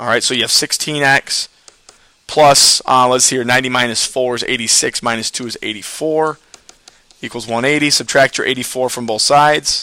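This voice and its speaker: A man speaks with fairly even intonation. His pitch is medium. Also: fairly quick pace. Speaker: math teacher. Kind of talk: tutorial. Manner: fast.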